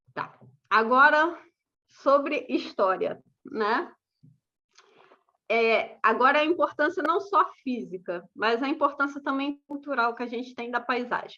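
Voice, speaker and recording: A woman speaks in a raised, projected voice with a high pitch and a bright, sharp tone. Her pace is fairly slow, with long, frequent pauses. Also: lively intonation. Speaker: landscape architect giving a talk. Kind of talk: lecture.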